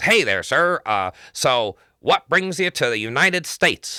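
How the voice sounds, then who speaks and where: Using a put-on character voice with an American accent, a man speaks high in pitch. He goes at a moderate pace on a very clean recording with a silent background. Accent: bad American. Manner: friendly, casual.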